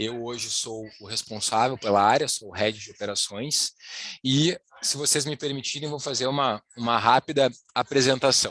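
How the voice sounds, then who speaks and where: A man with a normal speaking voice talks at a moderate pace, at medium pitch, with fairly even intonation. His loudness swings widely, and the sound is dry and close with no echo. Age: 30s. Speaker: wealth planning specialist. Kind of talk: webinar presentation. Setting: online live presentation.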